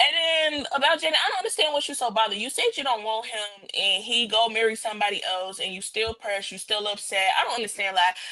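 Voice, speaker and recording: This woman talks very fast with hardly any pauses, her fairly high voice full of lively intonation. Background noise is noticeable throughout. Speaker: podcast panelist. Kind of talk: casual chat.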